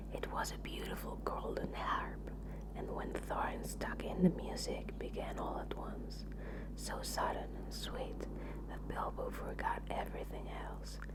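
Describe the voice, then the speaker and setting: Whispering and soft-spoken, a woman talks in a calm tone at a fairly slow pace over noticeable background noise. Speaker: ASMR artist. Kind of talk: audiobook reading. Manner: whispered; soft-spoken, calm.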